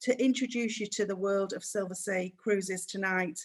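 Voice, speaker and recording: This woman talks at a moderate pace, her medium pitch carried in a fairly even intonation. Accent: Manchester. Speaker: cruise sales manager. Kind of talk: webinar presentation.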